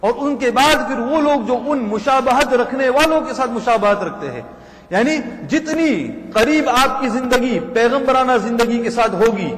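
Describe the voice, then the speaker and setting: Noticeable background noise and audible room echo surround the speaker. A man speaks at an extremely high pitch with ordinary pitch variation. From England, Leicester. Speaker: Islamic scholar. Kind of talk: religious lecture.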